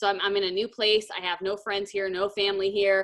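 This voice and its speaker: A woman at medium pitch, talking at a fairly quick pace. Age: 30s. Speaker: network marketing leader. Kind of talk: team training talk. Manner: animated.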